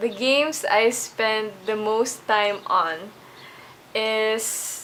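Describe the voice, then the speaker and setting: The woman's voice sits at a fairly high pitch. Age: 20s. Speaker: gamer interviewee. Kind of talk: interview answers.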